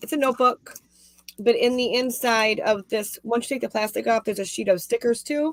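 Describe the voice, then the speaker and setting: Recorded dry and close with no echo, a woman talks at a fairly quick pace with fairly even intonation and a fairly high pitch. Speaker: crochet youtuber. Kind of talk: casual chat. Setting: video call. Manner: loud.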